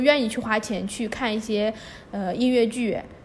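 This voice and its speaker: A woman with a fairly high pitch talks at a fairly quick pace amid noticeable background noise. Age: 20s. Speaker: budget backpacker and photographer. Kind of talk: casual interview.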